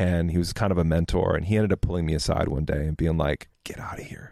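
A dark, mellow voice with an American accent races along at a very fast pace with fairly even intonation, in a dry, close sound with no echo on a very clean recording with a silent background. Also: man. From Minnesota. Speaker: graphic designer. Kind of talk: casual chat.

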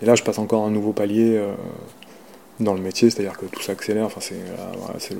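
A man's fairly low, monotone, flat voice at a fairly quick pace. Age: 40s. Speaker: sports journalist. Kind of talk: interview testimony. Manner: halting.

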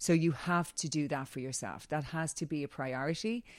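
A woman speaks in an Irish accent with a very deep, low pitch. Her pitch varies in an ordinary way. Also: very clean recording, silent background. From Ireland. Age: 40s. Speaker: wellness coach and former model. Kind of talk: casual interview.

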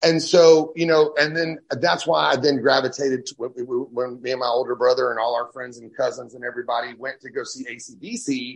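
A man with a plain, everyday voice of medium pitch talks at a fairly quick pace, with ordinary pitch variation, big swings in loudness and hardly any pauses. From Texas (raised there from age twelve, born in Louisiana). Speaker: blues rock guitarist. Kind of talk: interview.

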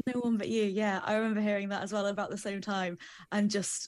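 At a fairly quick pace, a woman with medium pitch talks in an English Midlands accent. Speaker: podcast co-host, TV producer. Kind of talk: casual chat.

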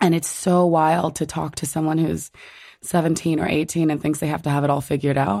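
A woman with a very deep, low voice talks at a fairly quick pace with fairly even intonation. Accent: New Jersey. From New Jersey, US. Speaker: writer and curator. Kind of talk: interview conversation.

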